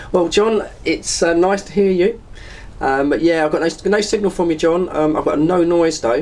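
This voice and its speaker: This man talks at a moderate pace in a high voice with ordinary pitch variation. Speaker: CB radio operator. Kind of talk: CB radio chat.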